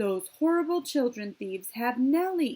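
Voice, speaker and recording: A woman uses a put-on character voice, high-pitched and loud, at a moderate pace. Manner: angry, alarmed.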